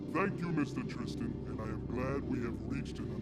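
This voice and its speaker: A put-on character voice moves at a moderate pace. Loud background noise runs underneath. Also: man. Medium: comedy sketch. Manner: stiff, formal speech without contractions.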